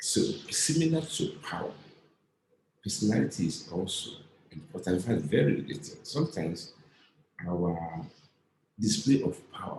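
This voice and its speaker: Audible room echo surrounds a man's somewhat breathy voice. He talks at a moderate pace with very wide pitch swings and long, frequent pauses. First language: not English. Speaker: lecturer and author. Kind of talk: lecture. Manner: halting, with frequent fillers.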